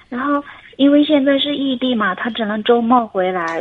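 The woman's pitch varies in an ordinary way, with noticeable background noise present. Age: 30s. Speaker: caller seeking relationship advice. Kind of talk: call-in advice conversation. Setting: phone call. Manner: halting. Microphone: choppy phone line.

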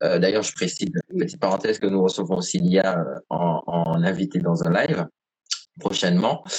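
This man's pitch is very deep and low. He keeps a moderate pace. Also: lively intonation. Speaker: podcast host. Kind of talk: interview. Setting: live stream.

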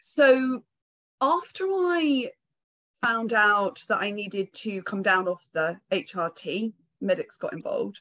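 Speaking very slowly with a British accent, a woman uses a fairly high pitch with very wide swings, heard in a dry, close sound with no echo. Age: 50s. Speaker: psychotherapist. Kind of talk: interview on a live community call.

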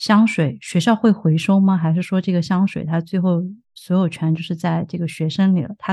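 A woman with a fairly low pitch and a dark, mellow tone speaks fairly quickly, somewhat breathy and with hardly any pauses. Her intonation stays fairly even against a quiet background. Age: 30s. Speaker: podcast host. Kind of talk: casual interview.

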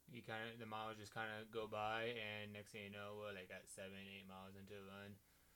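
A man with a bright, sharp tone and a fairly low pitch talks at a fairly quick pace with hardly any pauses and flat, monotone intonation, and audible room echo can be heard. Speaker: college cross country runner. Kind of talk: casual chat.

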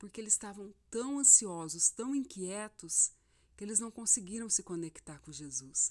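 On a very clean recording with a silent background, a woman with an ordinary speaking voice talks at a fairly slow pace, her fairly high pitch carrying lively intonation. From Brazil, Mato Grosso (Rondonópolis). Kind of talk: devotional talk. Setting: home recording at night. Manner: warm, informal.

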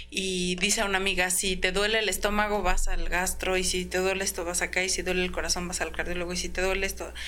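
The speech runs at a very fast pace with hardly any pauses, over music in the background and audible room echo. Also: woman. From Mexico City, Iztapalapa. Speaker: clothing store owner. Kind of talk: interview.

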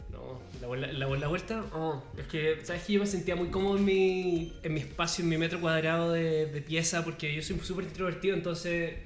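Speaking at a moderate pace with hardly any pauses, a man with a Chilean accent and a high-pitched voice keeps his intonation fairly even, with audible room echo and noticeable background noise. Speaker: university student. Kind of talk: casual chat.

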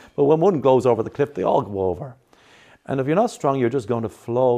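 A very fast man with an Irish accent, medium-pitched and dark and mellow in tone, lively intonation over a quiet background. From Ireland. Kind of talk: interview.

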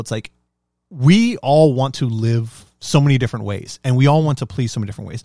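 An unremarkable speaking voice from a man at a fairly quick pace. The recording is very clean with a silent background and a dry, close sound with no echo. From US, Mexican-American, parents from Mexico. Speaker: podcast co-host. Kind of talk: casual chat.

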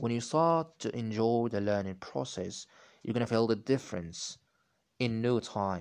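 A man with a non-native accent against a quiet background. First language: not English. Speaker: podcaster practicing English. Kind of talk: solo monologue on language learning. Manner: halting, with many restarts.

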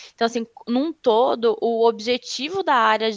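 A woman with a plain, everyday voice speaks at a fairly high pitch with ordinary pitch variation. The sound is dry and close with no echo. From Rio Grande do Sul, southern Brazil. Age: 20s. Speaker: HR consultant. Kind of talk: interview.

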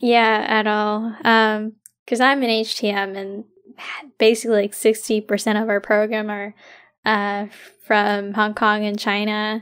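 On a very clean recording with a silent background, a woman speaks at a fairly slow pace in a monotone, flat intonation. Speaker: student club president. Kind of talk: casual chat.

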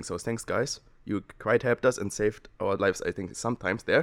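A very fast man's voice with a German accent, dry and close with no echo, in a very clean recording with a silent background. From Germany. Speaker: exchange student. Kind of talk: casual chat. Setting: studio.

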